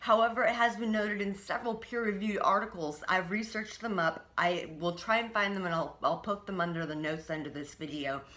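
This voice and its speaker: Noticeable background noise and audible room echo surround a woman speaking at a medium pitch with ordinary pitch variation. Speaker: vlogger sharing personal treatment experience. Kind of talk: personal video diary. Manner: halting, with many fillers and repetitions.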